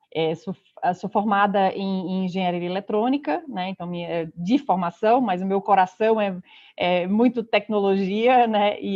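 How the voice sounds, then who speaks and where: A woman with a Pernambuco accent speaks at a medium pitch. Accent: Pernambuco accent, noticeable. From Pernambuco, northeast Brazil. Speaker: consulting partner, speaker. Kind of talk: online conference talk.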